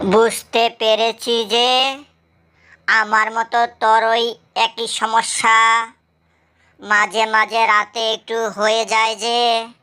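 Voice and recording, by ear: Using a cartoonish character voice, a woman speaks very slowly in a flat monotone with a fairly high pitch.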